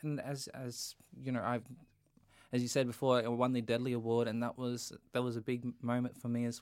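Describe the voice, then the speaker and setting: A man with an Australian accent talks at a fairly quick pace. The recording is very clean, with a silent background. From North Queensland, Australia. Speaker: singer-songwriter and actor. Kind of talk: casual interview chat.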